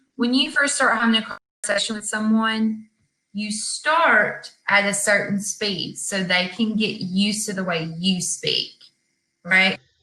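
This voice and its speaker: Speaking with a Southern US accent, a woman uses a fairly high pitch. Her pace is very slow. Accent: Southern American English. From US South, Georgia. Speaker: online English tutor. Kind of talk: casual chat.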